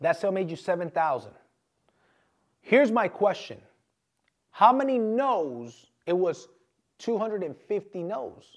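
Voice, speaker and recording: On a very clean recording with a silent background, a man speaks high and fairly slowly in an animated tone, with very wide pitch swings and long, frequent pauses. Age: 30s. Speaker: motivational speaker and podcast host. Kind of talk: motivational talk. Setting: studio.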